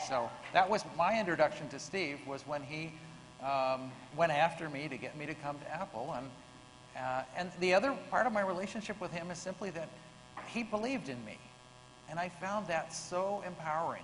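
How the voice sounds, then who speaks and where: With lively intonation and a high pitch, a man speaks at a moderate pace amid audible room echo. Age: 60s. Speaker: software engineer and early computer team member. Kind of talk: panel discussion. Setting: stage with audience.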